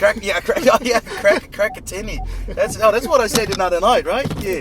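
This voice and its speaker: Noticeable background noise sits behind a man with a high pitch and lively intonation, who speaks with a slight Australian accent. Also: moderate pace. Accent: slight Australian tinge in English. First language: Dutch. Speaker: radio co-host and A&R. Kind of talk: casual chat. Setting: in a car. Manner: halting, many repetitions.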